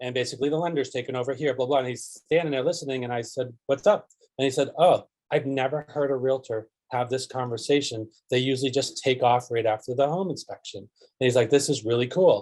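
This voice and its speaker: The speaker is a man talking at a very fast pace. His intonation is fairly even. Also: medium pitch for a man. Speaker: realtor. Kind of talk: group coaching discussion.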